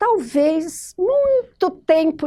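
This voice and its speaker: A woman speaks in a dark, mellow tone. The recording is very clean with a silent background. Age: 70s. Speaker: writer. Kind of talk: interview monologue. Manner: halting, with self-corrections.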